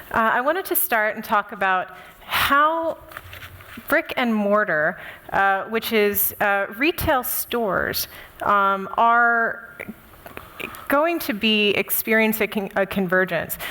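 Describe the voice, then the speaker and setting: This speaker has an American accent and lively intonation, with very even loudness throughout. The pace is very slow, broken by long, frequent pauses, over noticeable background noise. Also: woman, fairly high pitch for a woman. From United States. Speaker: conference speaker. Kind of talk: conference talk. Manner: frequent fillers (uh, um).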